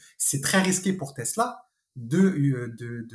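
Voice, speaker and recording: A man speaks in a somewhat breathy voice. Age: 30s. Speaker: real estate investor. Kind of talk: interview.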